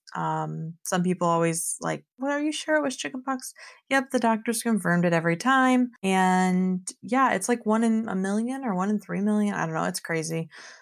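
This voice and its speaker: With a plain, everyday voice, a woman talks at a moderate pace and medium pitch, her intonation lively and hardly any pauses, on a very clean recording with a silent background. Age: 20s. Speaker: podcast host. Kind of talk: casual monologue.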